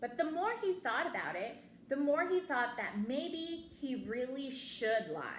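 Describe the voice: A woman speaks slowly at a fairly high pitch, with big pitch swings and audible room echo.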